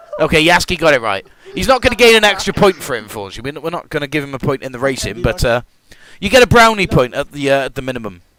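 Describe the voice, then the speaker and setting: Talking at a very fast pace, a man with a British accent uses a fairly high pitch and very wide pitch swings. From Britain. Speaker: gaming streamer and race host. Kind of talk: live stream commentary with viewers. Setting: live stream. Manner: animated. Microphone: new mic setup.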